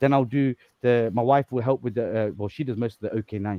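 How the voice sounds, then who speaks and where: A man talks at a very fast pace. His pitch sits in the medium range. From Leicester, England. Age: 40s. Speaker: dog breeder. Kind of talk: casual chat. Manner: animated.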